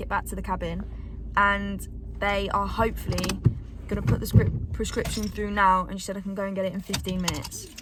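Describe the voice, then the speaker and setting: Noticeable noise fills the background. The talking moves fairly quickly. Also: woman. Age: 20s. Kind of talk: casual vlog talk to camera.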